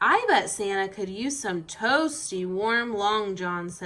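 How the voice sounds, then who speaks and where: In a put-on character voice, a woman speaks at a medium pitch. She goes at a fairly slow pace. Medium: read story. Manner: gentle, mildly teasing.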